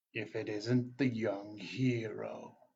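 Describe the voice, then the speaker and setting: The put-on character voice keeps to a monotone, flat intonation. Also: man, medium pitch for a man. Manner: cold, menacing.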